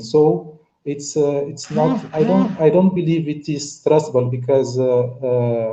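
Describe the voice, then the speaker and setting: A man speaks in a dark, mellow tone at a fairly high pitch. His voice is somewhat breathy. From Cape Verde. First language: Cape Verdean Creole / Portuguese. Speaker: panelist on pan-African discussion. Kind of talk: online panel discussion. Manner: halting, many fillers and repetitions.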